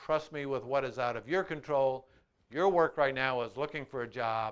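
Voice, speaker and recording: An ordinary speaking voice with an American accent, moderate pace and ordinary pitch variation against a quiet background. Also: man. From Iowa, USA. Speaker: motivational speaker. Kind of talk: motivational promo talk to camera.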